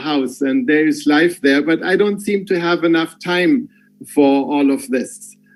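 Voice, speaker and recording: The speaker uses ordinary pitch variation with a German accent. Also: man. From Germany. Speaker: business executive. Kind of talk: farewell speech on video call. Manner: halting.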